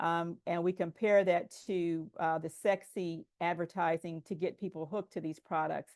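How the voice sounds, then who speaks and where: Against a quiet background, a woman has an unremarkable speaking voice, fairly low in pitch with fairly even intonation, at a moderate pace, recorded dry and close with no echo. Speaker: public health presenter. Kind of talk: conference presentation.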